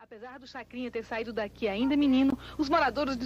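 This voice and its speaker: A woman speaks at a very fast pace in a high voice. Her intonation stays fairly even over noticeable background noise. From Pernambuco agreste, Brazil. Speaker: podcast host. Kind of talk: scripted narration.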